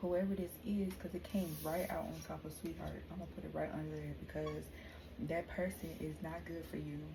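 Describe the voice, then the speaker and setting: A woman talks at a moderate pace in a room with audible echo and noticeable background noise. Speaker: tarot reader. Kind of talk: tarot reading.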